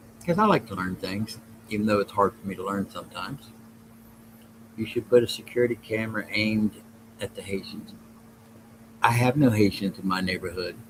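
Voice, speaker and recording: Speaking with a Southern US accent at a fairly low pitch, a man talks at a fairly quick pace, with fairly even intonation and long, frequent pauses. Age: old. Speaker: podcast host. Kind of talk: casual livestream chat reading chat comments. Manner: rambling, halting.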